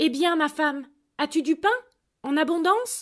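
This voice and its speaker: At a moderate pace, a woman does a put-on character voice pitched extremely high. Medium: read story. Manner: meek, humble.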